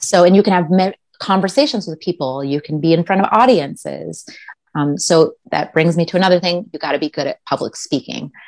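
A woman's unremarkable speaking voice with an American accent, fairly low in pitch, with ordinary pitch variation at a fairly quick pace, in a dry, close sound with no echo. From US Midwest, Minnesota. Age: 40s. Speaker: pageant titleholder. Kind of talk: interview. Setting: video call.

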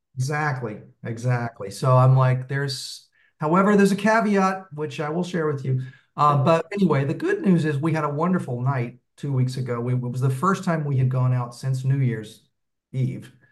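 The pitch varies in an ordinary way at a moderate pace. Some room echo can be heard. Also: man, fairly high pitch for a man. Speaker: meetup participant seeking relationship advice. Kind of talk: casual chat.

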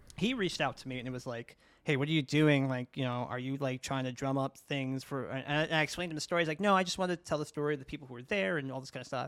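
Talking at a very fast pace with hardly any pauses, a man with a New York accent uses a fairly high pitch, ordinary pitch variation, and big swings in loudness. The recording is very clean with a silent background. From US, New York (Brooklyn). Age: 30s. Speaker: video interviewer and content creator in the fighting game community. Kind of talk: casual chat.

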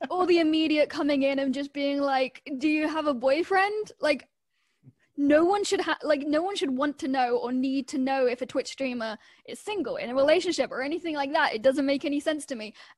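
Ordinary pitch variation is heard against a quiet background. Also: woman, high pitch for a woman. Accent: British. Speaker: Twitch streamer. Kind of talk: casual chat.

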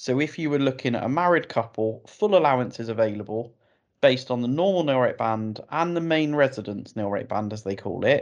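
Speaking at a fairly quick pace with lively intonation, a man with a British accent uses a medium-pitched voice over a quiet background. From UK. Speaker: financial planning expert. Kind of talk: interview.

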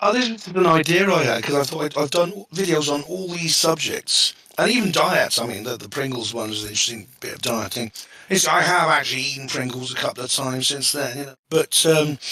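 Against noticeable background noise, a man talks at a fairly quick pace in a fairly high voice with lively intonation and big swings in loudness. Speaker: online video creator. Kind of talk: podcast interview. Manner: halting.

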